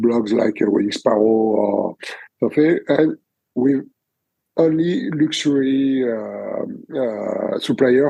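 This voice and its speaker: A man with a French accent at a very slow pace. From France. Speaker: wedding photographer. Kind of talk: interview answer. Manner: hesitant, many fillers.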